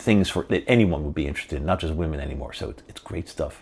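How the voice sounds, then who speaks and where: A man speaks with vocal fry. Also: very clean recording, silent background. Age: 70s. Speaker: podcast host. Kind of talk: monologue to camera. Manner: halting, repetitive; emphatic.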